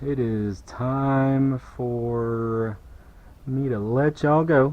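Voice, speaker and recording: With a Southern US accent, a man talks at a medium pitch. His pace is very slow and his intonation fairly even. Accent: US South. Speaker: car detailer. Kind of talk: tutorial. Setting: workshop. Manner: casual.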